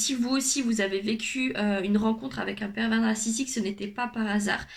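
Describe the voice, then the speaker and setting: A woman with a fairly high pitch talks at a moderate pace with fairly even intonation over noticeable background noise. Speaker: youtuber, personal development coach. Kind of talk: vlog monologue.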